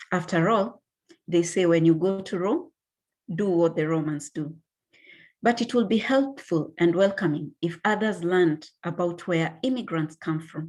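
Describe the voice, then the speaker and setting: A woman speaks with a Kenyan accent at a moderate pace. Her pitch is fairly low, with ordinary variation. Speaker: graduate student. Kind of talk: reading a personal essay aloud.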